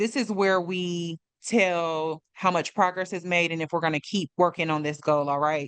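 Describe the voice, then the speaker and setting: An ordinary speaking voice belongs to a woman with fairly low pitch and fairly even intonation. She keeps a moderate pace with hardly any pauses, in a dry, close sound with no echo and a quiet background. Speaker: mental health trainer. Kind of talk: tutorial.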